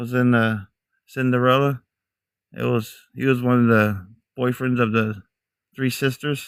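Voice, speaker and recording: A man speaks at a medium pitch and a moderate pace, his intonation flat and monotone. Long pauses come often. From mixed US (Army family; Texas to New Hampshire). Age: 40s. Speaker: outdoor live streamer, Bigfoot hunter. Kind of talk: casual live-stream chat.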